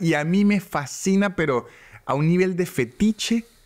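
A man's high voice with ordinary pitch variation. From Venezuela. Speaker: stand-up comedian. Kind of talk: casual chat. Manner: halting.

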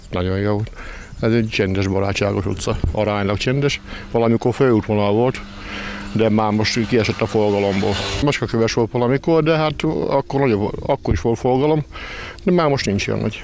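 A man at a fairly low pitch and moderate pace, with long, frequent pauses, very even loudness, a dry sound with no echo and light background noise. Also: ordinary pitch variation. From Püspökladány, eastern Hungary; Hungary. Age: 50s. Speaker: bakery owner. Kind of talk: interview. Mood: calm, content. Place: street. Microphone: handheld.

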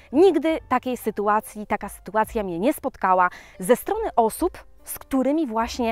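A woman speaks with lively intonation in a dry sound with no echo, faint music playing behind her. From Poland. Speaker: vlogger. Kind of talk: casual chat. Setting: outdoors. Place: forest. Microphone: phone near.

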